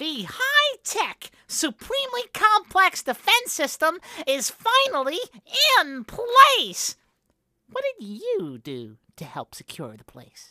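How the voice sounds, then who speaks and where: The voice sits at an extremely high pitch and moves at a fairly slow pace. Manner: boastful, then panicked.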